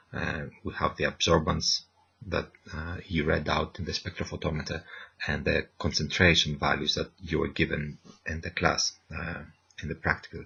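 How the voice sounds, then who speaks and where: A man speaks quietly at a moderate pace. His very deep, low voice is monotone and flat. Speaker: university lecturer. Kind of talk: tutorial. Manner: quiet, keeping voice down; hesitant, many fillers.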